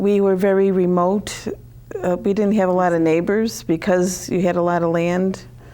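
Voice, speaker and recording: A woman with an American accent speaks at a moderate pace and medium pitch in a flat monotone, her loudness very even, amid noticeable background noise and audible room echo. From Connecticut, US. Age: 60s. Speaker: author. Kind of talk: TV interview. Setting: TV studio.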